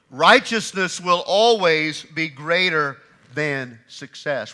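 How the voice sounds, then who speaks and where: A man's raised, projected voice, bright and sharp in tone, fairly slow, with very wide pitch swings. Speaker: pastor. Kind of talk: sermon preached to a congregation. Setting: church.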